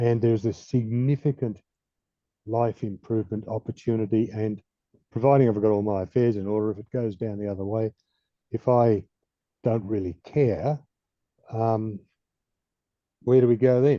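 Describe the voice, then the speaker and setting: A man with an Australian accent at a moderate pace, fairly even in intonation, with long, frequent pauses. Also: medium pitch for a man. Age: 70s. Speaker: audience member with spinal injury. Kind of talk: question in online session.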